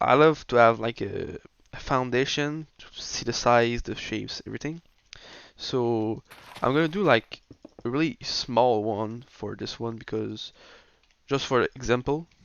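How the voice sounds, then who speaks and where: A man with a French accent speaks at a fairly slow pace and medium pitch. His pitch variation is ordinary, while his loudness swings widely. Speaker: video game tutorial creator. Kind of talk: tutorial. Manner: halting, many fillers and restarts.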